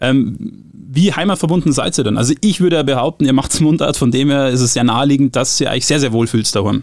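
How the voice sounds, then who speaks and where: An unremarkable speaking voice, a man at a fairly high pitch and fairly quick pace, with ordinary pitch variation, very even loudness and hardly any pauses. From Bavaria, Oberland. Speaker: radio host. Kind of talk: casual chat.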